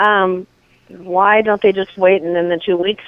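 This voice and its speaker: With an ordinary speaking voice, a woman keeps a medium pitch and a moderate pace. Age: 60s. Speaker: prank call target. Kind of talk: phone conversation. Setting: phone call.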